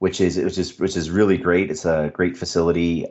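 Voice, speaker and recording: A man with a Canadian accent at a fairly quick pace, with fairly even intonation. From Canada. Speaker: podcast host. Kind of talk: interview. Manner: hesitant, many fillers.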